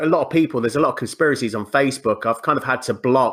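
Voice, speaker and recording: A man talks in an English accent. His pitch is fairly high. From England. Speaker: podcast guest. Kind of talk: casual chat. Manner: animated.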